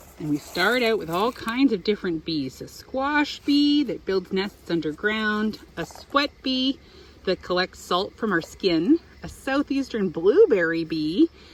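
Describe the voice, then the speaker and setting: The speech moves at a fairly slow pace, with noticeable background noise underneath it. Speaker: beekeeper. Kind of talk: children's picture book read-aloud. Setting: outdoors.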